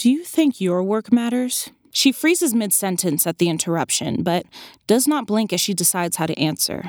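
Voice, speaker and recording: In a very clean recording with a silent background and a dry, close sound free of echo, a woman speaks at a moderate pace, her medium pitch swinging very widely. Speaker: narrator and main character. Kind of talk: literary audiobook reading, first-person fiction narration. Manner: intense, dramatic, brooding.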